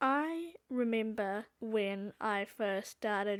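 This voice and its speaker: On a very clean recording with a silent background, a woman speaks at a medium pitch. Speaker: fanfiction writer, video creator. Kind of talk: casual vlog commentary. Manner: unscripted, casual.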